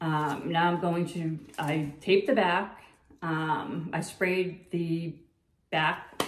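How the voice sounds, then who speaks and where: Against audible room echo, a woman with a fairly low pitch speaks with fairly even intonation. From Massachusetts. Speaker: fluid art painter. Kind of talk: painting tutorial. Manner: casual, halting with many fillers. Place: home room.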